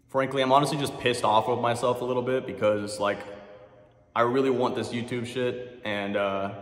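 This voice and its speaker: A man with a medium-pitched voice talks at a fairly quick pace. Audible room echo and noticeable background noise fill the recording. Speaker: fitness YouTuber. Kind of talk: gym workout vlog. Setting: gym at midnight. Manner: fast; animated.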